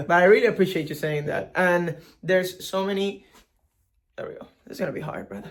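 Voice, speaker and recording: In a strong Venezuelan accent, a man talks at a high pitch and a fairly quick pace. His pitch varies ordinarily while his loudness swings widely. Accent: thick Venezuelan Spanish. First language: Spanish. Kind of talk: casual chat.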